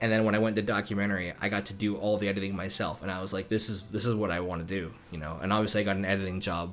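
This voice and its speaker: A man with a fairly low voice speaks very fast in a flat monotone, with audible room echo and music in the background. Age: 20s. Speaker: YouTube video creator and editor. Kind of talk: casual commentary. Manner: hesitant, filler-heavy.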